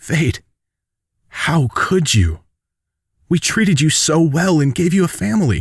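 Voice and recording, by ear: In a put-on character voice, a man speaks slowly at a fairly high pitch with a slightly husky edge and big pitch swings. The recording is very clean, with a silent background.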